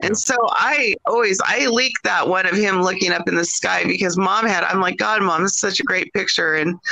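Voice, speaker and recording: In an American accent, a woman talks at a moderate pace with a bright, sharp, medium-pitched voice, vocal fry and ordinary pitch variation. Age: 40s. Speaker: author and granddaughter of a UFO witness. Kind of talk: interview.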